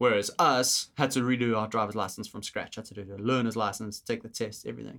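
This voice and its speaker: A man speaks at a very fast pace with hardly any pauses, his bright, sharp tone carrying vocal fry, fairly even intonation and big swings in loudness on a very clean recording with a silent background. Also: medium pitch for a man. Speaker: podcast co-host. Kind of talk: casual chat.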